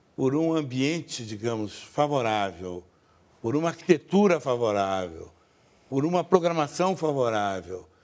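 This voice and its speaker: This man talks at a fairly slow pace. His voice swings very widely in pitch. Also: medium pitch for a man. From Rio de Janeiro state, Brazil. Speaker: cultural institution director. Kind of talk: TV interview.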